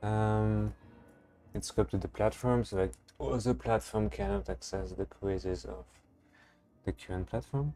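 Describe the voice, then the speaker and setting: The speaker has a French accent and a moderate pace, with long, frequent pauses. Music plays in the background. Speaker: software developer and startup founder. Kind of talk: live coding stream. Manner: casual, thinking aloud.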